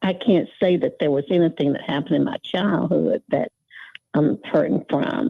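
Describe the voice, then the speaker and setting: A woman with a fairly low pitch and lively intonation speaks at a fairly slow pace. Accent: Alabama. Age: 70s. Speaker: caller. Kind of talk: casual chat. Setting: phone call. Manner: halting.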